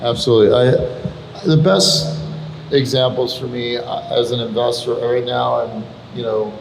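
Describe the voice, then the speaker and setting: A man's voice, with ordinary variation in pitch, carries audible room echo amid noticeable background noise. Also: medium pitch for a man, fairly slow pace. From Iran. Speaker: venture capitalist. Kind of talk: panel conversation.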